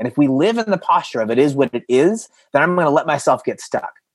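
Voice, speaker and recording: Against a quiet background, a man with an unremarkable speaking voice talks fairly quickly at a fairly high pitch with lively intonation, the sound dry and close with no echo. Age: 40s. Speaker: creative coach and seminar speaker. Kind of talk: seminar talk.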